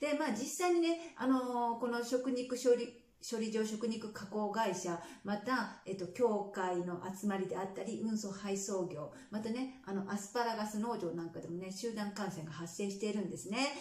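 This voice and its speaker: A woman's voice with ordinary pitch variation and audible room echo. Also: fairly high pitch for a woman, moderate pace. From Japan. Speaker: nurse and health vlogger. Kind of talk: casual vlog news commentary. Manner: conversational, many fillers. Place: home room.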